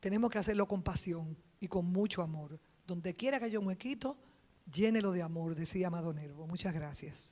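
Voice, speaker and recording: A woman speaks at a fairly quick pace in a dark, mellow tone. Her voice is fairly low, with ordinary pitch variation. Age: 60s. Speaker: politician, congresswoman. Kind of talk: panel speech.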